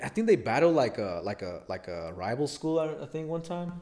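A man speaks at a moderate pace with very wide pitch swings over a quiet background. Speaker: podcast host. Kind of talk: casual chat. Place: home room. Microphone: studio mic.

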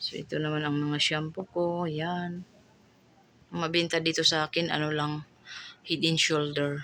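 The speech comes at a fairly slow pace in a Bisaya accent. The tone is bright and sharp, and the intonation is monotone and flat. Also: woman, very deep, low pitch for a woman. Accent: Bisaya accent in Tagalog, stumbles on words. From Visayas, Philippines. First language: Bisaya (speaking Tagalog). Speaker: vlogger and sari-sari store owner. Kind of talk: casual vlog haul. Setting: at home store at night. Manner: halting, self-correcting.

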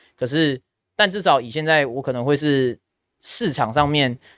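A man is recorded with a dry sound and no echo. The background is quiet. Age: 20s. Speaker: esports caster and podcast host; podcast host. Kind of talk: casual chat. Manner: supported diaphragm voice, steady. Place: studio. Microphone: studio mic.

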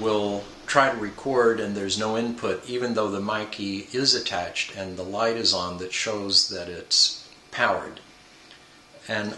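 Light background noise and audible room echo accompany a man speaking at a fairly low pitch. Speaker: product reviewer. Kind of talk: review talk to camera. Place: home room. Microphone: camera far.

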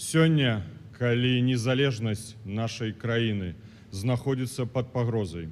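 A man speaks at a fairly slow pace, his pitch rising and falling in an ordinary way. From Belarus. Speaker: opposition politician. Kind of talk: formal speech. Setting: conference stage with audience. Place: hall. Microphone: podium.

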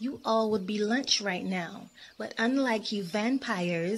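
The voice is an unforced reading voice.

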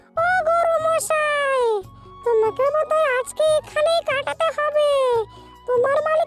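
A squeaky, cartoonish character voice over faint music in the background. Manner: chatty.

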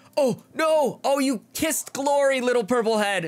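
The recording is very clean and the background silent. The voice is a man's. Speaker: gaming youtuber. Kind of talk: let's play commentary. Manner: animated.

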